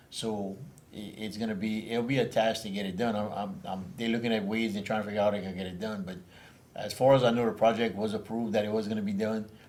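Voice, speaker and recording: Room echo is audible as a man speaks at a very fast pace. His voice is fairly low, with fairly even intonation. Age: 60s. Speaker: parish council member. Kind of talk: casual chat. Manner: halting, many repetitions.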